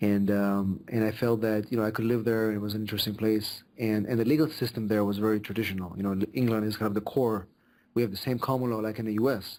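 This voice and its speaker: A man with an Israeli accent talks at a very fast pace. His fairly low voice stays monotone and flat. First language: Hebrew. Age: 40s. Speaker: immigration lawyer. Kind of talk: podcast interview. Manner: halting, many fillers.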